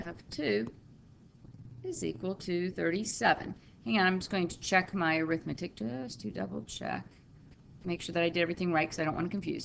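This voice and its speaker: A woman's fairly low, fry-tinged voice with lively intonation, a fairly quick pace and long, frequent pauses. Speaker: math teacher. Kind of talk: tutorial.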